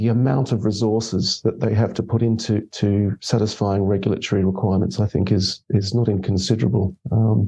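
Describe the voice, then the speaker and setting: A man with an Australian accent has a dark, mellow tone and a somewhat breathy quality against a quiet background. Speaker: investment consultant. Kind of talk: podcast interview. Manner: halting, many repetitions and fillers.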